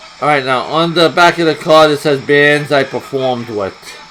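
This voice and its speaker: A man with an American accent at a moderate pace, music in the background. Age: 60s. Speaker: punk musician and video blogger. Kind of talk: casual rant to camera.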